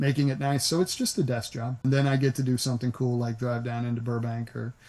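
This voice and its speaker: Talking at a very fast pace, a man speaks with an American accent. His voice is somewhat breathy and his intonation monotone and flat. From US South, Nashville. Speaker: voice actor. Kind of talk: interview. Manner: relaxed, conversational; halting, many restarts.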